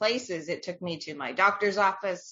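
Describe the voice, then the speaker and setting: A woman talks at a moderate pace in a plain, everyday voice. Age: 50s. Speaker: menopause educator, community founder. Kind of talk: podcast interview. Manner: casual with fillers.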